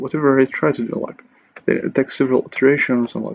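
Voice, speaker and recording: With a non-native accent, a man speaks at a medium pitch using fairly even intonation. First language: not English. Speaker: English learning YouTuber. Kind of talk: casual talk to camera.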